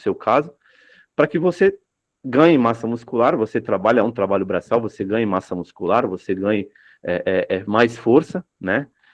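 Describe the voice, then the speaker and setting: Here a man uses a medium pitch, lively intonation and a moderate pace. The sound is dry and close with no echo, over a quiet background. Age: 30s. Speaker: dock worker sharing personal experience. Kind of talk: testimony at a public discussion circle. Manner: hesitant, many fillers.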